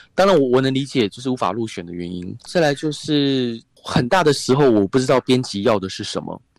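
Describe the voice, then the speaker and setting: Lively intonation from a man at a medium pitch, a fairly quick pace and hardly any pauses. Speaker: author and radio host. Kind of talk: interview.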